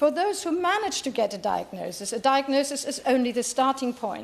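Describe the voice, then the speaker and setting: A woman with a German accent, high-pitched, at a moderate pace. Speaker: politician. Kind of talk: parliamentary speech. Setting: parliamentary chamber. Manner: halting.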